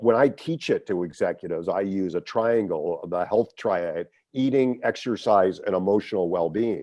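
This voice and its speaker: A man talks at a medium pitch in a normal speaking voice. His intonation is lively. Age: 60s. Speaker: executive coach, former lawyer. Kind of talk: interview conversation.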